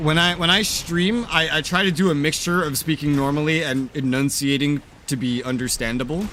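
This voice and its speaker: Over noticeable background noise, a man with an American accent talks at a fairly high pitch. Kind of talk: clear, enunciated speech.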